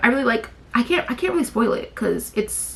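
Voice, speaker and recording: Over noticeable background noise, a woman talks at a very fast pace in a raised, projected voice with very wide pitch swings. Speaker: book vlogger. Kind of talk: casual chat.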